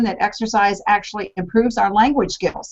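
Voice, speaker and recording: A plain, everyday voice from a woman, fairly high in pitch, at a moderate pace. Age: 60s. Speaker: health coach. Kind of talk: panel discussion.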